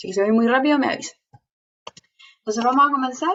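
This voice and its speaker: Her intonation moves in a lively way. The speaker is a woman. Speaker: teacher. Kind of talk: online lecture. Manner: fast; animated.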